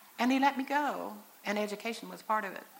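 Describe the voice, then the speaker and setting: A woman with an American accent talks at a moderate pace and fairly high pitch, with lively intonation, over noticeable background noise. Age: 60s. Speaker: mother and speaker at church convention. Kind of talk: sermon-style talk. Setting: church stage with audience, in wheelchair. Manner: conversational, folksy.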